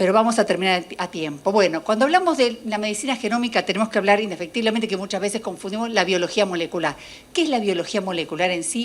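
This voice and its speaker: A woman speaks at a very fast pace in a medium pitch with ordinary pitch variation. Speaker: molecular biologist. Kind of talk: lecture.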